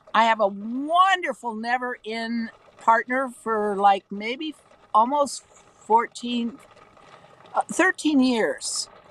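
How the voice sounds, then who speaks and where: A woman with a fairly high voice speaks at a very slow pace with very wide pitch swings, the sound dry and close with no echo but with noticeable background noise. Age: 70s. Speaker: former cult member confessing. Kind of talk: live stream interview.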